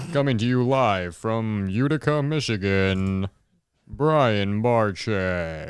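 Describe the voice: A put-on character voice drawls at a very slow pace with lively intonation. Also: man, fairly low pitch for a man.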